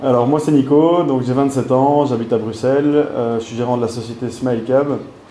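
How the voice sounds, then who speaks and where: A man at a medium pitch speaks in a monotone, flat intonation, with audible room echo and noticeable background noise. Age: 20s. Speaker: small business manager. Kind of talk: interview. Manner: halting, many fillers.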